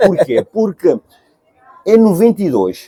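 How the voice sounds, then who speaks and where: Talking fairly slowly, the man lets his pitch swing very widely. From Cape Verde. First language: Cape Verdean Creole (speaking Portuguese). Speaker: singer. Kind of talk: interview. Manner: halting.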